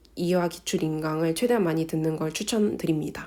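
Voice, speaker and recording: Her tone is dark and mellow. The speaker is a woman. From South Korea. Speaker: nurse and exam-tips vlogger. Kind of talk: informal tutorial.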